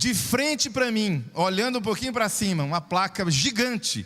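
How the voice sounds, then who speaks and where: A moderate pace carries the speaker's animated tone. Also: man. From Brazil, southern Pará and Belo Horizonte. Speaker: pastor. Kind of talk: sermon. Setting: church.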